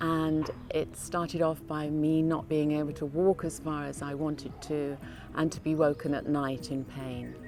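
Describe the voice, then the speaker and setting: With music in the background, a woman in a southern English accent talks at a very deep, low pitch in a monotone, flat intonation. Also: moderate pace. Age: 60s. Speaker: patient. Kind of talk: testimony.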